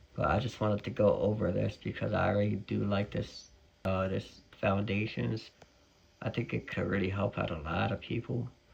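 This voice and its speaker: A man speaks in a fairly low voice with vocal fry. His pace is moderate and his pitch variation ordinary. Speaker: parent vlogger. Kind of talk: casual vlog talk. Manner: hesitant, many fillers.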